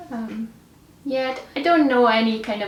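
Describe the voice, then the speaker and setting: With a Romanian accent and a fairly high pitch, a woman speaks with ordinary pitch variation amid audible room echo and noticeable background noise. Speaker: general practitioner. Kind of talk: interview. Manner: halting.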